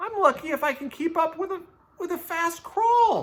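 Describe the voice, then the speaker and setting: Putting on a squeaky character voice, a man speaks at an extremely high pitch and a moderate pace. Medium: read story. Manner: giggly, warm.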